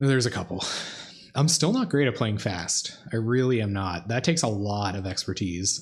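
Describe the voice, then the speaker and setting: In a very clean recording with a silent background, a soft-spoken man uses lively intonation at medium pitch and a moderate pace. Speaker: card game streamer. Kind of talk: live gameplay commentary. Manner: casual, halting.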